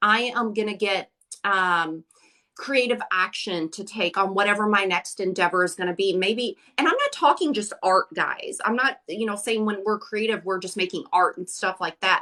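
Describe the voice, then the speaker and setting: A woman speaks at a moderate pace and medium pitch, her tone bright, sharp and animated. Her pitch varies in an ordinary way. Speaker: crystal seller and crystal healing expert. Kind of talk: casual live-stream chat. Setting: live stream broadcast.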